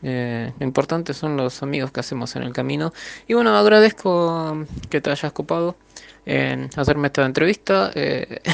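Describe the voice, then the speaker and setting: The speaker is a man with an ordinary speaking voice, a medium pitch and lively intonation. He talks at a moderate pace, with a dry, close sound and no echo. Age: 30s. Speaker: manga artist. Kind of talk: interview.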